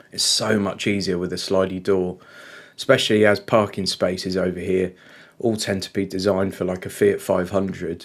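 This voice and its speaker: In an English accent, a man with a very deep, low pitch speaks in a monotone, flat intonation at a moderate pace on a very clean recording with a silent background. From England. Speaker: car reviewer. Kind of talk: casual talk-to-camera review. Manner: halting with fillers.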